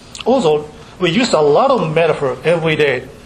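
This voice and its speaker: Noticeable background noise sits behind a man with a Japanese accent who talks at a moderate pace in a fairly high voice with ordinary pitch variation. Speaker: university professor giving lecture. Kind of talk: academic lecture. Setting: lecture hall with audience. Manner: halting, many fillers, self-deprecating.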